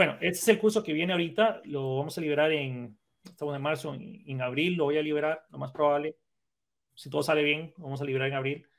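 A man talks at a very fast pace with a fairly high pitch and ordinary pitch variation. His loudness swings widely. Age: 30s. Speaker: programming instructor and content creator. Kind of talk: casual chat.

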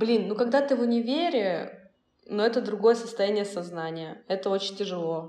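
In a room with audible echo, a woman talks at a fairly quick pace with ordinary pitch variation. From Russia, Volzhsky. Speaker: marketer and indie singer. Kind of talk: casual chat. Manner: halting.

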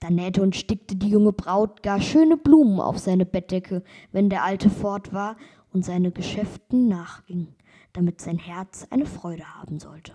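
A woman speaks in a calm, dark, mellow tone with ordinary pitch variation. Her loudness swings widely. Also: medium pitch for a woman. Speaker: podcast host reading fairy tales. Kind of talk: bedtime story reading aloud of a fairy tale. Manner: calm, slow, storytelling cadence.

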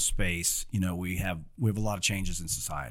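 A man is speaking. He has a Midwestern US accent. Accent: General American, Midwestern. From Ohio, US Midwest. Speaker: corporate security executive, Marine veteran. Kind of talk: interview conversation.

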